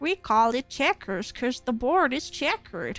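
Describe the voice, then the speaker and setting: A female-sounding put-on character voice speaks at a high pitch. The pace is moderate, with faint music in the background. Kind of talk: exaggerated, comical.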